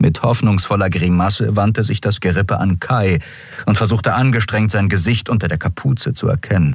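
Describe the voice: The clip contains plain reading aloud.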